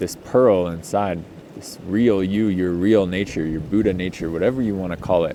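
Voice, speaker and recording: Very deep and low in pitch, a man speaks with ordinary pitch variation while audible room echo surrounds him. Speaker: healing and somatics coach. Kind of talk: casual off-the-cuff talk. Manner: slow; relaxed, hesitant with many ums.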